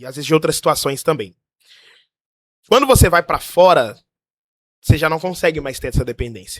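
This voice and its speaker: Close and dry with no echo, a man at a fairly high pitch talks at a moderate pace with lively intonation, big swings in loudness, and long, frequent pauses. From Brazil. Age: 20s. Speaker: pastor living abroad. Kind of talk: casual chat, testimony.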